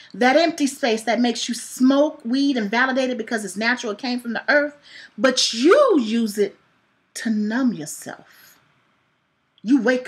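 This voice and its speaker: The pace is fairly slow, with long, frequent pauses. Pitch variation is ordinary. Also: woman. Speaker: poet and author. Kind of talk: spoken-word poetry reading.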